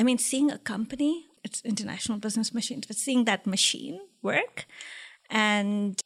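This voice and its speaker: Soft-spoken and recorded very cleanly against a silent background, a woman talks at a moderate pace in a fairly high pitch with ordinary pitch variation. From India. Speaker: tech executive. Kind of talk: interview.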